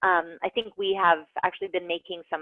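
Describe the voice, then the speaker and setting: A woman talks at a medium pitch with lively intonation. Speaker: online course instructor. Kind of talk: online class lecture. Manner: fast; animated.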